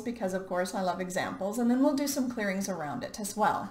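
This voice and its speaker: Noticeable background noise is present throughout. Against it, this woman's intonation is lively. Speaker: life coach. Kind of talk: motivational talk.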